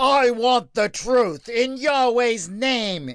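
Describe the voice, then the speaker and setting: A man speaks very slowly in a put-on character voice at an extremely high pitch. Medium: read story. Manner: imperious.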